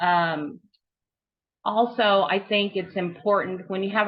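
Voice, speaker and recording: A woman's normal speaking voice at medium pitch with fairly even intonation. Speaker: trail volunteer organizer. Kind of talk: webinar presentation.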